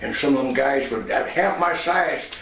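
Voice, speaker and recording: Audible room echo and noticeable background noise are present. A man speaks at a moderate pace. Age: 70s. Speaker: former radio personality and youth center founder. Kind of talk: personal testimony.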